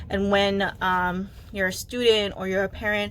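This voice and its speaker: A woman's voice carries audible room echo. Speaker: podcast host. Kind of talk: casual monologue. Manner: hesitant, many fillers.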